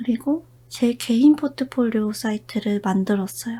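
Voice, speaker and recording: Whispering, a woman speaks at a fairly slow pace. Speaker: illustrator and character designer. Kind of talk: whispered ASMR chat. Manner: whispered.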